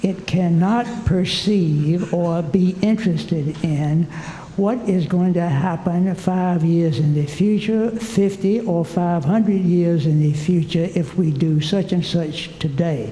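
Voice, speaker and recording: Amid noticeable background noise and audible room echo, a man with a high voice talks at a very slow pace with hardly any pauses, ordinary pitch variation and very even loudness. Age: 80s+. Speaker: retired geologist, audience member. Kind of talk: audience comment at conference.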